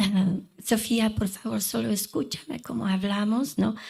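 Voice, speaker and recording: A woman with a non-native accent speaks at a very slow pace. Her tone is dark and mellow, with vocal fry. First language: not Spanish (speaking Spanish). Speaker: lawyer and mediator, conference speaker. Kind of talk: conference talk. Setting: conference hall with microphone.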